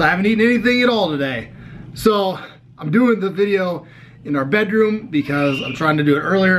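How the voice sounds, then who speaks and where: A high-pitched man at a moderate pace, with lively intonation and noticeable background noise. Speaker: fitness vlogger. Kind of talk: casual vlog. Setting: home bedroom.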